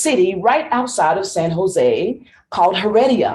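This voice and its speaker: A woman speaks in a somewhat breathy voice with very wide pitch swings. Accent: American. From Tennessee. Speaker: speech contestant. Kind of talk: contest speech. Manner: animated.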